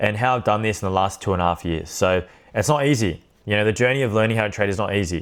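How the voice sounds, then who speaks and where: In an Australian accent, a man with a fairly low pitch talks at a very fast pace on a very clean recording with a silent background. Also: ordinary pitch variation. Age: 20s. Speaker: trading educator. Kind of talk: tutorial. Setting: recorded to camera. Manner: casual, unscripted.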